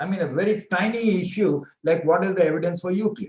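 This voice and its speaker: A man speaks very fast in a high voice. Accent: Indian. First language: Hindi. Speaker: professor. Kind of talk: interview.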